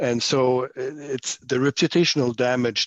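In a French accent, a man talks at a moderate pace and medium pitch with ordinary pitch variation, the sound dry and close with no echo. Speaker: former senator and policy consultant. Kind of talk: casual panel discussion.

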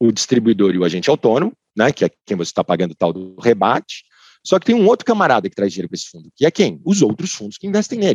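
A man speaks very fast at a medium pitch, with very wide pitch swings and big swings in loudness. The sound is dry and close, with no echo. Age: 30s. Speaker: lawyer in finance. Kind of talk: casual chat. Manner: halting.

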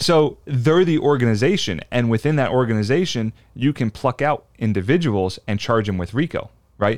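This is an unremarkable speaking voice at a fairly quick pace. The intonation is lively. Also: man. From US Northeast, South Jersey. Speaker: legal expert, former law enforcement. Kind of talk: casual interview chat.

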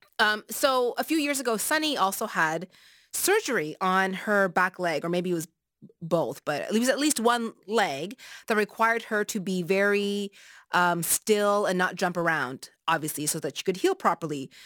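On a very clean recording with a silent background and a dry, close sound with no echo, a woman in an unremarkable speaking voice talks at a medium pitch and moderate pace with lively intonation. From Nova Scotia, Canada (Taiwanese family). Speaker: radio host. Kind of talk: radio talk show. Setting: radio studio.

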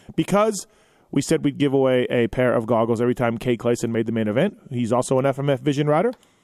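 A man talks at a very fast pace with a medium pitch. His pitch variation is ordinary, and his loudness stays very even. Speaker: motocross podcast host. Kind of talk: live call-in show. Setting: studio.

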